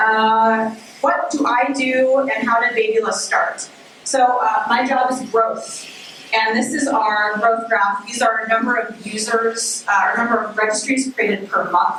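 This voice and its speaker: Amid noticeable background noise and audible room echo, a woman speaks at a fairly slow pace with fairly high pitch and fairly even intonation. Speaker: startup growth marketer. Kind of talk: conference talk.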